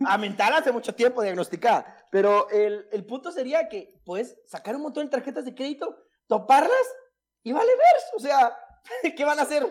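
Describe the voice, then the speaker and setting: A man's extremely high voice moves at a moderate pace, with lively intonation and big swings in loudness. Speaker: lawyer. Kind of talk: casual chat.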